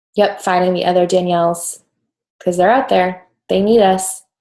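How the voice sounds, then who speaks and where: Monotone and flat, a woman speaks at a fairly slow pace. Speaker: online coaching class leader. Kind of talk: live online class Q&A. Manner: casual, filler-heavy.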